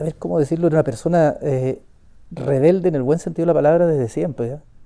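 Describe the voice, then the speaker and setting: The pitch shows ordinary variation and sits fairly high for a man. He speaks very fast. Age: 60s. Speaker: victim's younger brother. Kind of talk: testimony.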